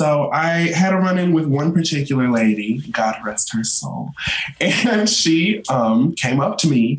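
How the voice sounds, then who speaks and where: A man's fairly high voice with an American accent and lively intonation, at a fairly slow pace, against noticeable background noise. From North Carolina. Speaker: content creator. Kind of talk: casual chat.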